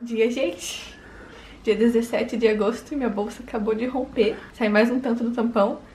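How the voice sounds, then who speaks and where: Over light background noise, a woman speaks at a moderate pace with monotone, flat intonation. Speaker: expectant mother vlogger. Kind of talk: casual vlog chat. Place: home room. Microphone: phone near.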